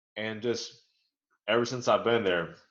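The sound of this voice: A man at a moderate pace with a fairly bright tone and audible room echo.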